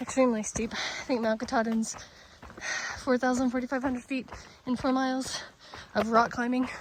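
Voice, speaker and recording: A woman speaks at a high pitch and fairly quick pace in a monotone, flat intonation. Noticeable background noise can be heard. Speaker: hiking vlogger. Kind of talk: outdoor vlog narration. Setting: outdoors on a hiking trail. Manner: breathy, winded from climbing.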